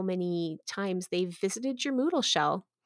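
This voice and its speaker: A woman's normal speaking voice at medium pitch, with lively intonation, a moderate pace and a dry, close sound free of echo. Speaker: podcast host and educational technologies coordinator. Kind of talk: conversational podcast interview.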